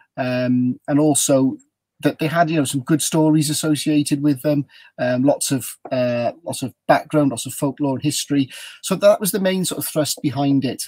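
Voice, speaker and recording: A man's fairly high, dark and mellow voice in a South Wales accent, with ordinary pitch variation and a moderate pace, against a quiet background. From South Wales, Newport. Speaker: ghost tour guide. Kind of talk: storytelling on a live video chat. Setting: video call from a motorhome.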